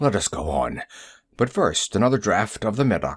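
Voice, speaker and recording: A man's raspy, put-on character voice at medium pitch and moderate pace, in a very clean recording with a silent background. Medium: read story.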